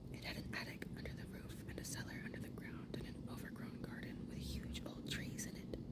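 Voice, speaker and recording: A whisper at a moderate pace, with noticeable background noise behind it. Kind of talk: whispered audiobook reading, ASMR. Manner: whispered, soft-spoken.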